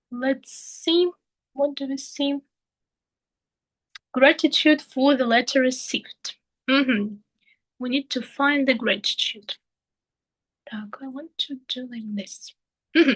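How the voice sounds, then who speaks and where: A high-pitched woman with a Russian accent speaks at a very slow pace, with long, frequent pauses and big swings in loudness. The sound is dry and close, with no echo. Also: ordinary pitch variation. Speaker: English teacher trainee. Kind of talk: tutorial. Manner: halting.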